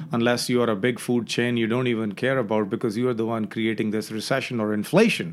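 At a very fast pace, a man talks with hardly any pauses. His pitch is medium and his intonation fairly even. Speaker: chef and restaurateur. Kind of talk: casual interview. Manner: stutters at times.

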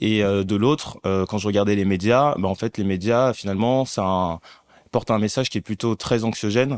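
A man with a normal speaking voice and a fairly low pitch speaks at a moderate pace with fairly even intonation, in a very clean, dry, close recording with a silent background and no echo. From Paris region, born in Mali. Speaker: content creator and investor. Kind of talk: casual interview.

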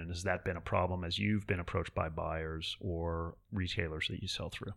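A man's very deep, low voice with a bright, sharp tone and fairly even intonation, in a very clean recording with a silent background. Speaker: fashion lawyer and podcast host. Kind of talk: casual interview.

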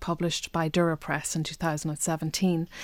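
A woman speaks in a Donegal accent. The recording is very clean, with a silent background. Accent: Donegal Irish. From Donegal Gaeltacht, Ireland. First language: Irish. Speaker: poet. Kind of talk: interview.

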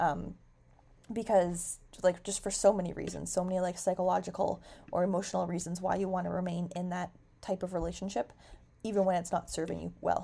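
A woman with a Canadian accent talks at a fairly quick pace in a fairly low pitch, her dark, mellow tone carrying vocal fry and monotone, flat intonation. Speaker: podcast host and teacher. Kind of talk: casual solo podcast talk. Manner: fast.

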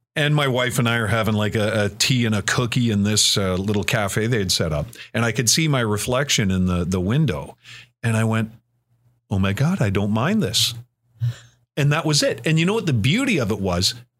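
In a very clean recording with a silent background, a man with a Canadian accent speaks at a fairly quick pace in a normal speaking voice, at a medium pitch with very even loudness. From Ontario, Canada. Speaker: radio host and program director. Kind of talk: casual interview.

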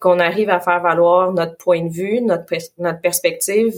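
A woman talks at a fairly slow pace with a fairly low pitch. Her intonation is monotone and flat. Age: young. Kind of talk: interview.

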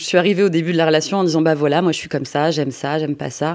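A woman speaks very fast in a very deep, low voice with fairly even intonation. The recording is very clean, with a silent background. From provincial France. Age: 40s. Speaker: interviewee sharing personal story. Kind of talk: testimony. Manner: halting.

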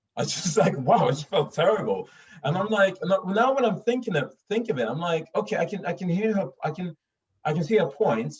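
Speaking at a moderate pace with a Swedish accent, a man uses lively intonation. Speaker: actor and voice artist. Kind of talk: casual chat.

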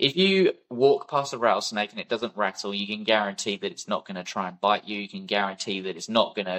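With a British accent, a man speaks in a fairly low pitch with ordinary pitch variation. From UK. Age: 20s. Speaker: war veteran and wildlife conservationist. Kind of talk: interview conversation.

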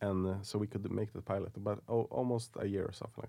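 Talking with a Swedish accent, a man uses a fairly low pitch, fairly even intonation and a dark, mellow tone. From Sweden, Stockholm suburbs. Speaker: film and TV producer. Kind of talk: interview.

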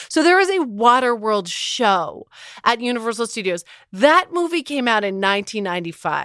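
A woman with a fairly high pitch speaks at a moderate pace in a bright, sharp tone. She sounds animated, with very wide pitch swings. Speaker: podcast host. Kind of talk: casual comedic chat. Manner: animated, sarcastic.

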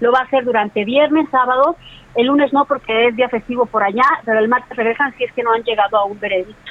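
Speaking very fast, a woman uses a high pitch and fairly even intonation. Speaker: radio co-host. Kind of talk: reading listener messages.

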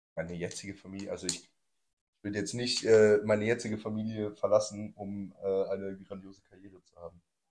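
Using monotone, flat intonation, a man speaks at a fairly quick pace with fairly low pitch. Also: big swings in loudness. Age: 20s. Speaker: podcast host. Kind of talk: casual chat.

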